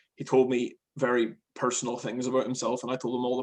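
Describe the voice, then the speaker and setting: This man talks at a moderate pace and a medium pitch. Vocal fry runs through his voice. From Northern Ireland (Larne). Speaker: stand-up comedian. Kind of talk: casual chat. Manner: halting.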